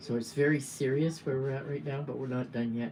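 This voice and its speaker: Someone with a Canadian accent talks against noticeable background noise. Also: woman. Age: 70s. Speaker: political activist. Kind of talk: livestream monologue. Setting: livestream.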